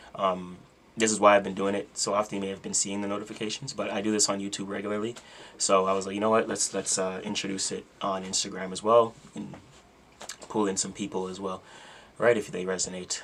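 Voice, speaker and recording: Over noticeable background noise, a man with a fairly low pitch speaks at a very fast pace in a monotone, flat intonation. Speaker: astrology content creator. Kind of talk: casual livestream talk about astrology. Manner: casual, filler-heavy.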